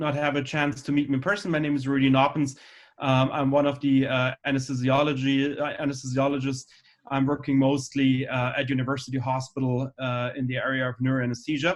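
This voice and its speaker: A man's fairly high, fairly quick delivery with a slight German accent and monotone, flat intonation. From Germany. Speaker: anesthesiologist. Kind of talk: lecture. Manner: halting, many fillers.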